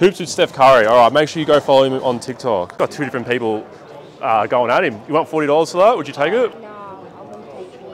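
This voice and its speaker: Over noticeable background noise, a man with an Australian accent talks very fast in a fairly high pitch, his intonation lively and his loudness swinging widely. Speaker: sports card collector vlogger. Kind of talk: casual vlog. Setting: card show floor.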